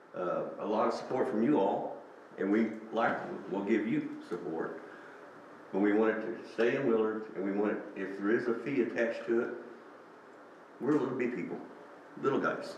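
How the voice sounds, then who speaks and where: Speaking at a moderate pace with fairly even intonation and long, frequent pauses, a man is heard amid audible room echo and noticeable background noise. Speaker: veteran, veterans organization official. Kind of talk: public comment at city council meeting. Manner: hesitant, many fillers.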